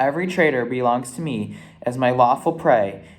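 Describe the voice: The speaker reads aloud plainly. Pitch rises and falls in an ordinary way.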